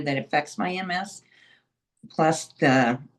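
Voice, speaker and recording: In an unremarkable speaking voice, a woman with an American accent talks at a fairly low pitch with lively intonation. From Indiana. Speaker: guest living with MS. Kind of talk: casual interview.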